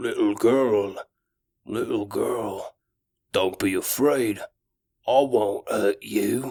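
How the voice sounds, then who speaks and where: Using a put-on character voice, a man rasps out his words at a very slow pace, with long, frequent pauses. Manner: malevolent, feigning gentleness.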